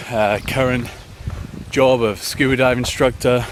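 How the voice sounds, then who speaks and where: A man speaks with a British accent over noticeable background noise. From UK. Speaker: running vlogger, scuba dive instructor. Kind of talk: casual vlog talk. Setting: outdoors in a forest.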